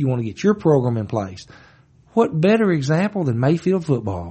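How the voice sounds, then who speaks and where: A man speaks at a moderate pace in a fairly high, somewhat breathy voice. His pitch swings very widely. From western Kentucky, Marshall County. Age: 50s. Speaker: circuit court judge. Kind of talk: casual interview.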